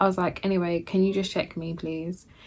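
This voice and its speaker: Woman with a London accent, a fairly low pitch and a fairly quick pace, in a very clean recording with a silent background. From Jamaican. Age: 20s. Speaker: YouTuber, new mother. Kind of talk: casual talk to camera.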